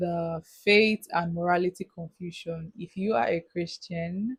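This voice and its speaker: A woman's somewhat breathy voice at a fairly slow pace, in a dry, close sound with no echo. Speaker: youth advice vlogger. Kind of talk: casual monologue. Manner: halting.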